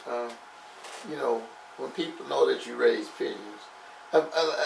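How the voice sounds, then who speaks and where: A man's voice with big swings in loudness, long and frequent pauses, noticeable background noise and audible room echo. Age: 70s. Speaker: pastor and roller pigeon breeder. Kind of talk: casual interview chat.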